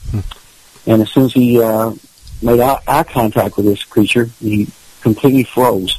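A man with a Kentucky accent talks at a fairly slow pace in a medium pitch, his loudness very even. His intonation is fairly even, and background noise is noticeable. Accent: Kentucky Southern US. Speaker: paranormal investigator. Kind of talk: casual chat.

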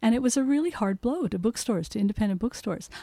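A high-pitched female voice with very wide pitch swings, on a very clean recording with a silent background. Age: 60s. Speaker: bookseller. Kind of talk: casual chat.

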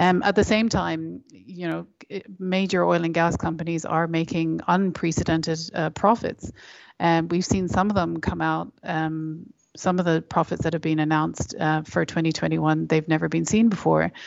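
Fairly low-pitched woman with an Irish accent, moderately paced, her intonation fairly even. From Ireland. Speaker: environmental campaigner. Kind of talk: interview.

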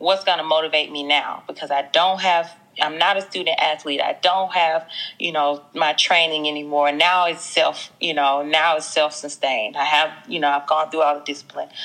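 A woman with a slight Southern US accent talks at a moderate pace in a very deep, low register. Her tone is bright and sharp, and her intonation fairly even. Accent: Southern US, slight twang. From US South, Mississippi. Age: 20s. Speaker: fitness franchise owner. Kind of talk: casual interview chat.

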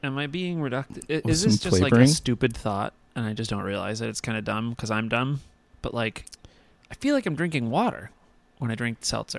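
An unremarkable speaking voice from a man, medium-pitched and fairly quick, with ordinary pitch variation and a dry, close sound with no echo. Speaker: podcast co-host. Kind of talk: informal, profane. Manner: casual, joking, rambling.

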